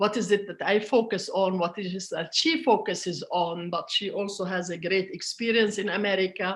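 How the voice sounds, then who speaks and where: A woman's medium-pitched voice in an Arabic accent, fairly even in intonation, at a moderate pace. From Palestinian, grew up in Jordan. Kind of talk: interview. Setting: online event. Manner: hesitant, many fillers.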